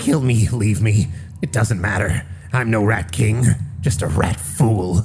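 Over clear background noise, a man does a put-on character voice at a fairly low pitch and a fairly slow pace. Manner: bitter, defeated, grandiose.

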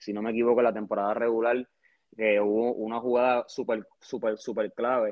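A man talks fairly quickly in a medium-pitched voice, his intonation monotone and flat. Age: 20s. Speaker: sports fan. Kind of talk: casual chat. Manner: halting.

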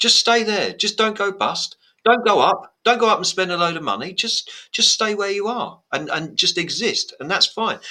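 Raising and projecting his voice, a man speaks at a high pitch and moderate pace with a bright, sharp tone. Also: ordinary pitch variation. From Blackburn, northern England. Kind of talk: casual chat, podcast.

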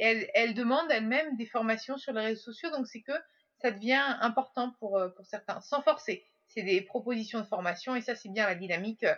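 A woman with an unremarkable speaking voice talks at a fairly quick pace and a fairly high pitch. Her loudness swings widely while her pitch varies in an ordinary way. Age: 30s. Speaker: podcaster and social media consultant. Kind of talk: casual interview.

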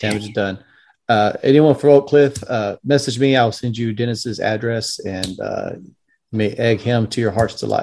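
A man with an unremarkable speaking voice talks at medium pitch and a moderate pace, with fairly even intonation and big swings in loudness. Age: young. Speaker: podcast host, Freemason. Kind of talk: casual interview.

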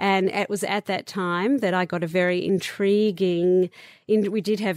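A woman with an Australian accent speaks at a moderate pace and medium pitch, with fairly even intonation. The recording is very clean, with a silent background. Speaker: beauty entrepreneur. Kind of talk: interview.

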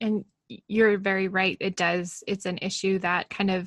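In an American accent, a woman speaks at a medium pitch and a moderate pace with monotone, flat intonation. The sound is dry and close with no echo, against a quiet background. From US Pacific Northwest, Portland area. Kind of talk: casual interview.

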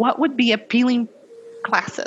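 Someone with a Portuguese accent talks at a moderate pace over noticeable background noise. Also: woman. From Brazil. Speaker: compliance executive. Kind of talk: interview.

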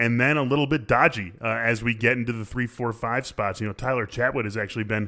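Speaking at a fairly quick pace, a man with an unremarkable speaking voice keeps to a medium pitch. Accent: American. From Chicago, US Midwest. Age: 30s. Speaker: fantasy baseball analyst. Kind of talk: casual chat.

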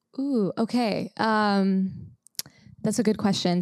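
A woman with an American accent has a plain, everyday voice at a medium pitch, with fairly even intonation, recorded very clean with a silent background and a dry, close sound with no echo. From Los Angeles, California. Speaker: company integrator, business operations leader. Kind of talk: casual chat.

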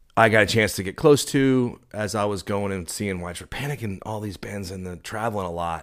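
A man with an American accent and a very deep, low pitch, at a moderate pace, on a very clean recording with a silent background. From Dallas, Texas. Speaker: concert promoter and talent buyer. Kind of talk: casual interview.

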